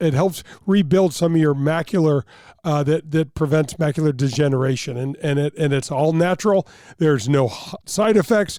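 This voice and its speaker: A man speaks with a dark, mellow tone at a fairly high pitch. His pace is moderate and his pitch varies in an ordinary way. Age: 60s. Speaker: former tour golfer, radio host. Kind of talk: radio ad read in casual chat. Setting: studio.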